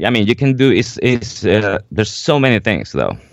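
The speaker is a man. He talks with a Spanish accent. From Venezuela. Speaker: jazz drummer and teacher. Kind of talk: interview. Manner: halting, many fillers.

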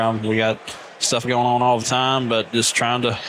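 A man talks at a fairly quick pace with an Alabama accent. Noticeable background noise runs behind him. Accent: Southern, Alabama. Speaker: lawn care business owner, podcast guest.

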